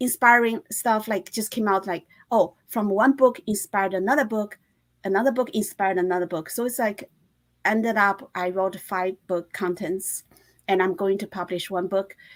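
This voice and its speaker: A woman speaks with a Chinese accent. Her pace is moderate. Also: medium pitch for a woman, ordinary pitch variation. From China. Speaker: fashion designer and author. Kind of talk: interview. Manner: halting.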